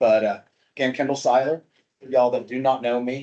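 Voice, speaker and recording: Speaking with a Southern US accent, a man holds a medium pitch in a monotone, flat intonation. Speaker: habitat project coordinator. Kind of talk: informal presentation at a meeting. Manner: casual, conversational.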